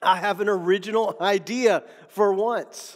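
Here a man speaks at a high pitch. His intonation stays fairly even. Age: 40s. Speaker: pastor and author. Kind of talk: podcast teaching monologue. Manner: repeats words often.

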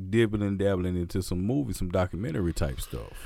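This is a man speaking with an American accent. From Mississippi, US South. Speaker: podcast host and DJ. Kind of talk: casual chat. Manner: animated.

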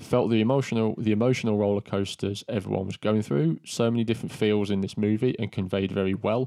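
A man's fairly low voice in an English accent, very fast with hardly any pauses and fairly even intonation. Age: 30s. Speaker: movie podcast co-host. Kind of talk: casual chat.

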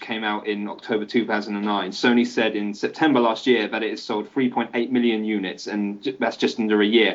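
A man's moderate-speed delivery carries over noticeable background noise. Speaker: gaming podcaster. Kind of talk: casual chat.

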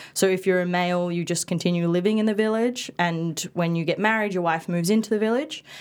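A woman with an Australian accent talks very fast with hardly any pauses. Her pitch is medium, with ordinary variation. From Perth, Western Australia (early childhood in Bali). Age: 20s. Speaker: dispute resolution officer and writer. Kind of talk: casual interview chat.

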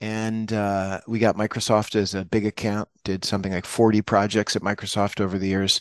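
Against a quiet background, the speaker uses monotone, flat intonation at a moderate pace, the sound dry and close with no echo. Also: man, fairly low pitch for a man. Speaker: business consultant executive. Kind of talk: podcast interview.

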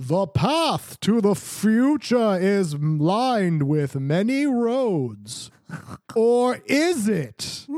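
This put-on character voice sits at a fairly high pitch with very wide pitch swings. It moves at a very slow pace. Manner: mystical, mock-ominous.

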